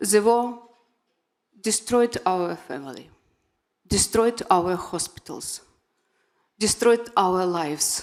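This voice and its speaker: A woman speaks very slowly at medium pitch, leaving long, frequent pauses. Her intonation is lively. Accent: Ukrainian. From Ukraine. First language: Ukrainian or Russian. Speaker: patient advocate and award recipient. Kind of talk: award acceptance speech. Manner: halting, non-fluent English.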